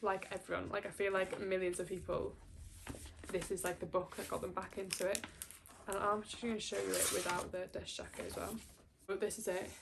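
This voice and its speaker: A woman with a Welsh accent at a medium pitch, a fairly quick pace and long, frequent pauses, over noticeable background noise. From Wales. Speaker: booktuber. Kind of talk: casual chat. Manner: animated.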